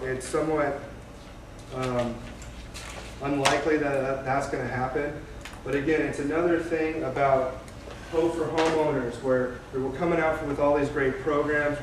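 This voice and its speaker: Over noticeable background noise, a man speaks at a moderate pace with fairly even intonation and a fairly high pitch. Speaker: mortgage loan officer. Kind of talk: informal presentation to a live audience. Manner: hesitant, many fillers.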